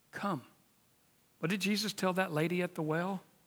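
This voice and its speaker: Recorded very cleanly against a silent background, a man speaks in an American accent. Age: 50s. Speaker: preacher. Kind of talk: sermon. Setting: church.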